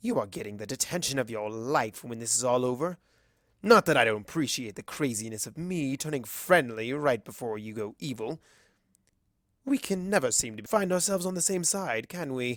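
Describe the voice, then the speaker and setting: A man at a medium pitch uses a put-on character voice in a very clean recording with a silent background. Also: moderate pace. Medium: read story. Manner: sarcastic, theatrical.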